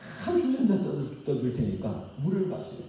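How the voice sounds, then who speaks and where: A man with very wide pitch swings at a moderate pace, audible room echo and noticeable background noise. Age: 60s. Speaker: pastor. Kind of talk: sermon. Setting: church. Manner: animated.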